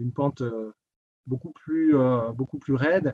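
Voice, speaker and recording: This man's voice has a dark, mellow tone. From eastern France, Doubs (Jura). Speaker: public servant, ski resort area director. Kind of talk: interview. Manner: halting, many repetitions.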